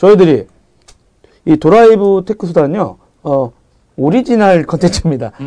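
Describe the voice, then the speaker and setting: A man speaks with a high pitch that moves through very wide swings. His tone is dark and mellow. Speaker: tech podcast host. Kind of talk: casual chat.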